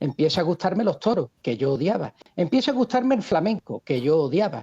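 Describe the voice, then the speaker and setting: A man with an Andalusian accent speaks at a fairly quick pace in a high pitch, with very wide pitch swings and very even loudness. His tone is dark and mellow, and the sound is dry and close with no echo. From Seville, Andalusia, Spain. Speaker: economist, video creator. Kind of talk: interview.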